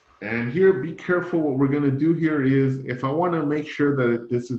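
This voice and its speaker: A man speaks at a moderate pace. He has a plain, everyday voice at medium pitch. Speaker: math instructor. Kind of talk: lecture.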